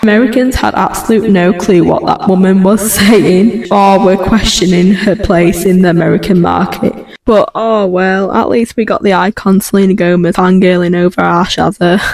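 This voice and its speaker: With a Yorkshire accent, a woman speaks with fairly even intonation and very even loudness over noticeable background noise. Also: medium pitch for a woman, moderate pace, hardly any pauses. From Yorkshire, northern England. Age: 20s. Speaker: pop culture commentary youtuber. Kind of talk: video commentary. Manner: casual, chatty.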